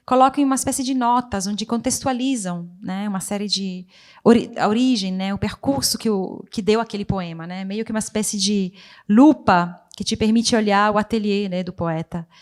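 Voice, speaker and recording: Recorded very cleanly against a silent background, a woman with an Italian accent and a fairly high pitch speaks at a moderate pace with ordinary pitch variation. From Italian-speaking Switzerland. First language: Italian (speaking Portuguese). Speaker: poet and writer. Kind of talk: literary panel discussion. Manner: halting.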